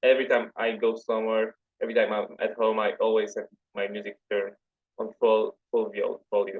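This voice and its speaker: A man with a Polish accent at a fairly quick pace. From Poland. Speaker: metal fan page admin. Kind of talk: podcast interview.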